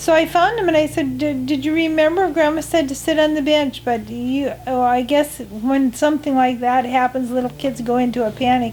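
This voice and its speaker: Music plays in the background as a woman with an American accent speaks at a moderate pace, her pitch high with ordinary variation. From US Midwest, North Dakota. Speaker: grandmother interviewed in documentary. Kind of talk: personal reminiscence interview. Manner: halting, many fillers.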